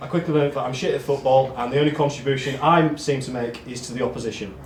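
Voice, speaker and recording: With fairly even intonation, this man races along at a very fast pace while noticeable background noise and audible room echo fill the recording. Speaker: amateur football team member giving awards speech. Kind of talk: speech at awards night. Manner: monotone.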